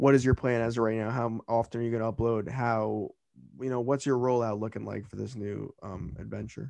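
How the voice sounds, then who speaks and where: A man's medium-pitched voice at a fairly quick pace, with fairly even intonation and big swings in loudness. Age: 20s. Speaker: podcast host. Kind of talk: casual chat. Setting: small home apartment setup. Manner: halting, many filler words.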